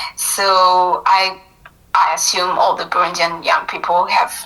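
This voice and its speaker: A woman talks fairly slowly amid noticeable background noise. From Burundi, Bujumbura. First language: Kirundi and French. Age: 20s. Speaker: university student. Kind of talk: interview.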